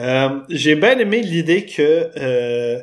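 A man with a Quebec accent speaks at a fairly high pitch. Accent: Québécois French. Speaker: podcast guest. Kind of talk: casual chat. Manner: animated.

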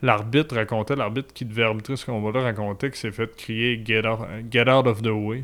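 A man speaks at a moderate pace and medium pitch, in a monotone, flat intonation. The recording is very clean, with a silent background. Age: 30s. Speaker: wrestling commentator. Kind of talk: casual chat.

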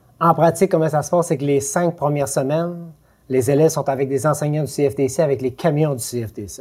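On a very clean recording with a silent background, a man with a fairly high pitch speaks fairly quickly, somewhat breathy, with ordinary pitch variation. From Quebec, Lac-Saint-Jean. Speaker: educational advisor, former truck driver. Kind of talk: casual interview.

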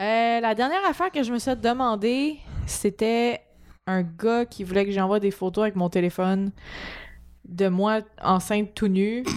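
On a very clean recording with a silent background, a woman with a fairly high pitch speaks fairly slowly, with ordinary pitch variation and long, frequent pauses. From Quebec, Montreal. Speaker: podcast co-host, actress. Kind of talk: casual chat.

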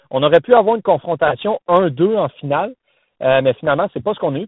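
Here is a man with a normal speaking voice. He talks at a moderate pace with lively intonation. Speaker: tennis columnist. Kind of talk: casual chat. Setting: phone call from a car. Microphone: phone line.

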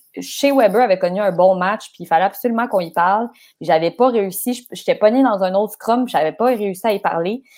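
Quickish in pace, a woman with an unremarkable speaking voice talks at a medium pitch with ordinary pitch variation. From Quebec, Laval. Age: 20s. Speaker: sports journalist. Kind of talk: casual chat.

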